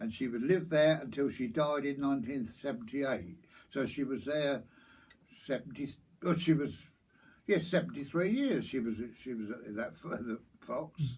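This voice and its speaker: A man with a rural Hertfordshire accent speaks at a moderate pace in a fairly high, somewhat breathy voice with lively intonation. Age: 80s+. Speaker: local elder recalling pub life. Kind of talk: oral history interview. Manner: halting with false starts.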